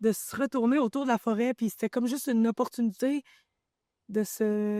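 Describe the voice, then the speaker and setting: A woman's fairly high-pitched voice with a dark, mellow tone, fairly even intonation and a fairly quick pace, dry and close with no echo, on a very clean recording with a silent background. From Quebec, Abitibi (Val-d'Or area). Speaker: forager and small business founder. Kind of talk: interview.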